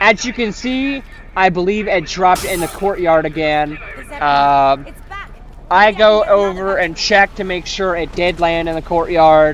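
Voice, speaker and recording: Fairly slow speech against noticeable background noise. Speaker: gaming youtuber. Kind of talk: gameplay tutorial commentary. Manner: casual.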